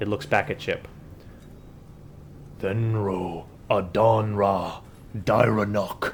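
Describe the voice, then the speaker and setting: A put-on character voice from a man, fairly low in pitch, very slow, with long, frequent pauses and clear background noise. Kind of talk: invented foreign language. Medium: actual play. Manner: terse, commanding.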